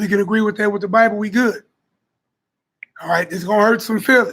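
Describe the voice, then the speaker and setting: This man's voice sits at a high pitch. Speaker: Bible teacher. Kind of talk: religious teaching. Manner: emphatic, conversational.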